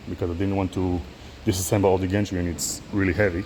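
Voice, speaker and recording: Speaking with a non-native accent, a man delivers his words in a very deep, low pitch with monotone, flat intonation. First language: not English. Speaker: DIY machine builder. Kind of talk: tutorial. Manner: halting.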